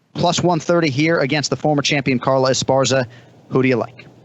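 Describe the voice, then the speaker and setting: A man races along at a very fast pace. His intonation stays fairly even. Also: medium pitch for a man, very even loudness. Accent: Boston. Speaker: sports betting show host.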